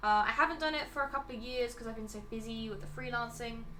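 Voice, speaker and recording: A woman with a southern English accent speaks in a relaxed tone at a fairly high pitch, her intonation lively, with audible room echo and noticeable background noise. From England, Devon. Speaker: digital artist streamer. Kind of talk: casual chat while drawing. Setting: live stream.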